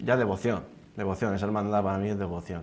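A man with a very deep, low pitch talks at a very fast pace, his intonation fairly even. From Spain, Hellín (Albacete province); Spain. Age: 20s. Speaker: fitness instructor, beauty pageant contestant; fitness instructor. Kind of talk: TV interview. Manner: halting, many repetitions and fillers. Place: studio. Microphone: lapel.

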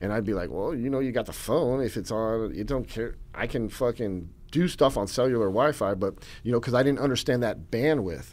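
Speaking with an American accent, a man moves at a fairly quick pace with ordinary pitch variation. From US military family; raised partly in California, then Northern Virginia; California, Virginia. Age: 50s. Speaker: author and documentary filmmaker, former prisoner; podcast guest. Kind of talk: casual interview. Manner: hesitant, many fillers and repetitions. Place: studio. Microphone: studio mic.

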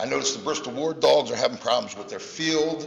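An American-accented man talks at a fairly quick pace. Audible room echo and light background noise surround his voice. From US Northeast. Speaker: youth football program founder; youth sports volunteer addressing council. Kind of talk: public comment. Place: hall. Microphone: podium.

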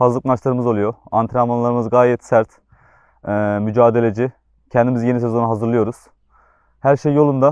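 In a quiet background with a dry, close sound and no echo, a man of medium pitch talks at a fairly quick pace in a flat, monotone way, leaving long, frequent pauses. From Turkey, Antalya. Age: 20s. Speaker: footballer. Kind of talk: promotional interview statement. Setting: on camera.

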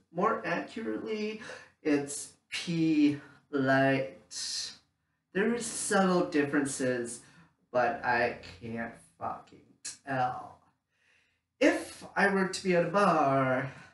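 Over audible room echo, a man speaks at a very slow pace with long, frequent pauses, very wide pitch swings and big swings in loudness. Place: home room. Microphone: camera far.

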